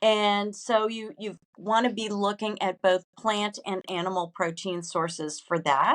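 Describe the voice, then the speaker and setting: At medium pitch with ordinary pitch variation, a woman talks in a normal speaking voice, with a dry, close sound and no echo. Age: 60s. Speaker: food and wellness business founder. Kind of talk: interview.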